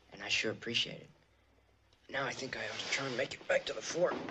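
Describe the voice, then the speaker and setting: A man does a put-on character voice that is raspy. He talks at a very fast pace. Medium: short film. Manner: polite, mild.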